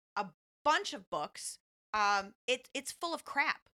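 A woman speaks in an animated, bright, sharp tone with lively intonation. Her pace is fairly slow, and the sound is dry and close with no echo. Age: young. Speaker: marketing and business development for a lender. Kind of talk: casual chat.

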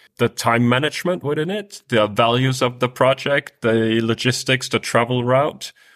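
Speaking at a moderate pace with a Danish accent, a man is heard on a very clean recording with a silent background. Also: dry, close sound with no echo. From Denmark. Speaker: world traveler. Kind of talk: interview.

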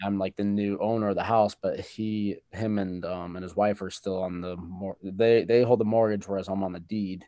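A man's fairly low, dark and mellow voice, flat and monotone, with hardly any pauses. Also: moderate pace. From Wyoming. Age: 20s. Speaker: real estate investor and National Guard member. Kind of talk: casual interview. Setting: remote call.

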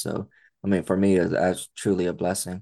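Against a quiet background, a man with an American accent speaks at a moderate pace in a very deep, low pitch. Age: 40s. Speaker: spinal cord injury survivor, foundation cofounder. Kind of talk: interview.

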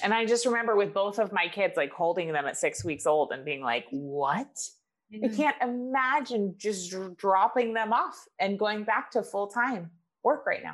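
With an American accent, this speaker uses lively intonation and vocal fry at a moderate pace. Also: woman, fairly high pitch for a woman. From US, Maine. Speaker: author, business coach. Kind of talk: interview.

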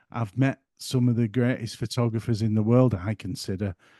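Over a quiet background, a man with a northern English accent speaks at a moderate pace in a dark, mellow tone. His intonation is monotone and flat, and the sound is dry and close with no echo. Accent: broad northern English. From northern England. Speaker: photographer and YouTuber. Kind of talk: casual interview chat.

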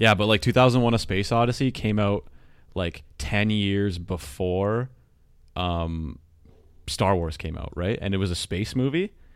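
In a normal speaking voice, a man talks at a fairly slow pace with a fairly low pitch and ordinary pitch variation. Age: 20s. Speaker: podcast co-host. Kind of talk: casual chat. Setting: online call.

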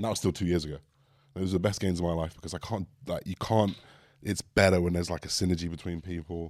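A man's very deep, low pitch with an English accent and fairly even intonation. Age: 20s. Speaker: podcast co-host. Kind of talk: casual chat. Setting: studio.

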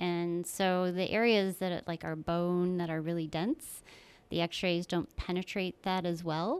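A woman speaks in a plain, everyday voice with an American accent. Her pitch is fairly low and her intonation fairly even. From northern New York. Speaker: radiology network director. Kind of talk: casual interview.

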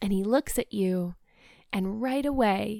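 A woman speaks at a fairly high pitch and a fairly slow pace, with ordinary pitch variation. Her tone is dark, mellow, soothing and gentle, on a very clean recording with a silent background. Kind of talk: guided meditation. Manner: slow, soothing, gentle pacing with calm pauses.

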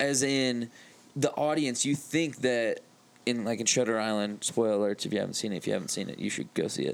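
This man's medium pitch shows ordinary pitch variation as he moves at a fairly quick pace in a plain, everyday voice. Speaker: podcast co-host. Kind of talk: casual chat. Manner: joking.

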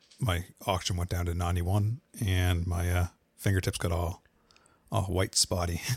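A man's very deep, low voice, somewhat breathy and monotone, at a moderate pace with long, frequent pauses, on a very clean recording with a silent background. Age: 40s. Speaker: podcaster and gear reviewer. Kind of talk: casual chat.

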